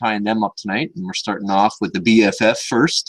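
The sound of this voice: With a fairly low pitch and little pitch movement, a man speaks at a fairly quick pace.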